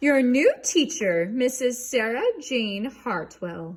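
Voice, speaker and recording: A woman's high, put-on character voice at a very slow pace, full of very wide pitch swings. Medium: read story. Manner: gushing, brisk.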